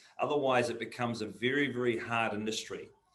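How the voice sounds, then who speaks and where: A man's medium-pitched voice moves at a fairly quick pace while noticeable background noise carries on around him. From New Zealand. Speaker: auctioneer and national auction manager. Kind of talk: interview answer. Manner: conversational, relaxed.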